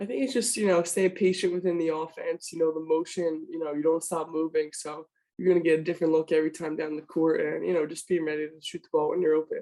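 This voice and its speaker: A soft-spoken woman at a very fast pace, with fairly even intonation and hardly any pauses. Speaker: college basketball player. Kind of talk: sports interview.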